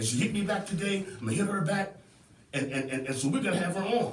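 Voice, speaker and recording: A high-pitched man with an American accent, with noticeable background noise. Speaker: community activist and show host. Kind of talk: passionate talk-show monologue. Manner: fiery, preacher-like, emphatic.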